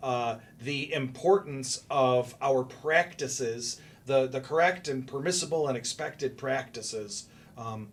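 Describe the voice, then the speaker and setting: Somewhat breathy, a man speaks at a fairly slow pace. His pitch is medium, with ordinary variation. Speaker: cybersecurity guest expert. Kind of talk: podcast interview. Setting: studio.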